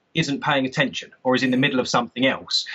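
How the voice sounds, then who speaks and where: Here a man speaks at a very fast pace. Behind him, the background stays quiet. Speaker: remote interview guest, sales trainer. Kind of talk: interview answer.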